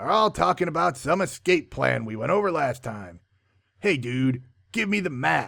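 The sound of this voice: The delivery is an unforced reading voice. The background is quiet.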